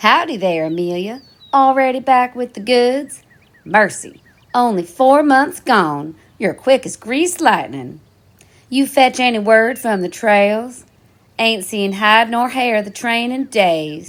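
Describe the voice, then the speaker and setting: Drawling in a put-on character voice, a woman speaks at a fairly slow pace with a fairly high pitch. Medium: audio drama. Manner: exclamatory, folksy drawl.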